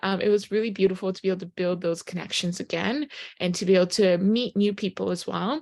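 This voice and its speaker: A woman speaks with a Japanese accent at medium pitch. The recording is very clean, with a silent background. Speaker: network marketing presenter. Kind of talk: sales pitch.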